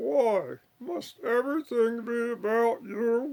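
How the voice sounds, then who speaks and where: A man speaks at a fairly slow pace in a cartoonish character voice pitched extremely high. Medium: puppet show. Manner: evasive, hesitant with filler "uh".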